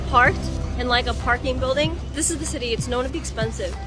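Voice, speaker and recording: The speech moves at a very fast pace. The sound is dry with no echo, and clear music plays in the background. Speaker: vlogger. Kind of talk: casual vlog chat. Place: street. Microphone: phone near.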